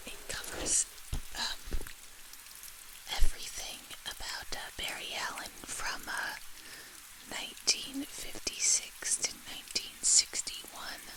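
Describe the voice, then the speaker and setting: Someone whispers at a very slow pace, leaving long, frequent pauses, while noticeable background noise carries on. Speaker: ASMR creator. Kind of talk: casual ASMR talk to camera. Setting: close to the microphone. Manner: soft-spoken.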